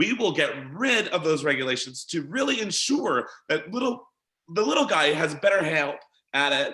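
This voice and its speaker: In a hoarse, put-on character voice, a man speaks at a moderate pace with a high pitch and very wide pitch swings. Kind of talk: political speech.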